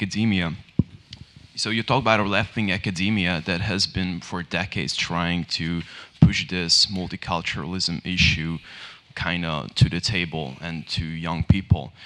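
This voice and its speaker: A man with a Hungarian accent speaks in a very deep, low voice. His tone is bright and sharp. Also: ordinary pitch variation, moderate pace. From Hungary. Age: 20s. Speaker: student, audience member. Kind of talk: audience question. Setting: public panel event with audience.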